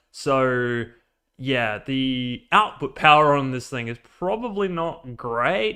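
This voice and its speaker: With an Australian accent, a man at medium pitch uses lively intonation and a bright, sharp tone. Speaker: robot builder and streamer. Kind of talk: casual live build stream. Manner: casual, filler-heavy.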